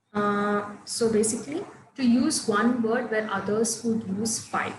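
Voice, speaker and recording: Speaking at a fairly slow pace in a Tamil accent, a woman with a fairly high pitch keeps her intonation fairly even while audible room echo surrounds her. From Coimbatore, Tamil Nadu, India. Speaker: English teacher. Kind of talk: online class.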